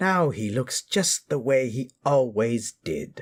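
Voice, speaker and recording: At a medium pitch, a man speaks in a put-on character voice. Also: fairly slow pace, lively intonation, dry, close sound with no echo. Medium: read story.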